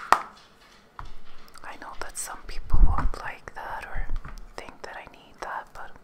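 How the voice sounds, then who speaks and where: Very slow whispering from a woman. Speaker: beauty ASMR creator. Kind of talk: ASMR video talking to camera. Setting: close microphone, ASMR recording. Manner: whispered, soft-spoken. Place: home room. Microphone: studio mic.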